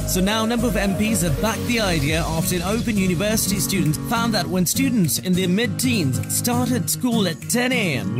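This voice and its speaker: Over loud background music, a man talks at a fairly quick pace, his voice dry with no echo. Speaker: radio presenter. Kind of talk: radio news bulletin read. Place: studio. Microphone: studio mic.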